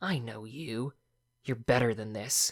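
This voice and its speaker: A man's growling put-on character voice at a medium pitch, fairly slow, with ordinary pitch variation and a dry, close sound with no echo. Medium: read story. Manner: weary.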